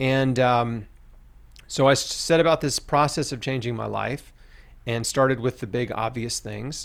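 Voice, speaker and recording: With an American accent, a man speaks at a moderate pace in a medium pitch, with ordinary pitch variation. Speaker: cancer survivor and author. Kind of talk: testimony.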